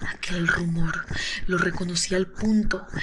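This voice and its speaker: Against noticeable background noise, a woman talks at a medium pitch with monotone, flat intonation. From Colombia. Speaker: ASMR creator. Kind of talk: horror story reading. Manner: soft-spoken.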